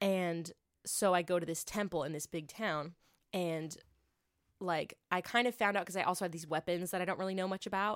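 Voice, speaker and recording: With a fairly quick pace, a woman delivers an unremarkable speaking voice at medium pitch and fairly even intonation, captured in a very clean recording with a silent background. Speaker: podcast co-host. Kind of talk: casual chat. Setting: studio.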